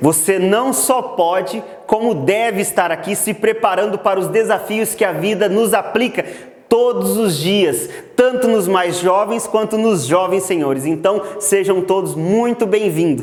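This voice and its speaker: A man speaks fairly slowly with a high pitch and ordinary pitch variation. Noticeable background noise and audible room echo surround him. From Brazil, Mato Grosso interior. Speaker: agricultural GPS instructor. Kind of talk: online lecture.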